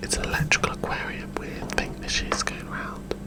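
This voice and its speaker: Over noticeable background noise, a man's whisper moves at a moderate pace. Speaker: ASMR creator. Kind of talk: casual ASMR intro to camera. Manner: whispered.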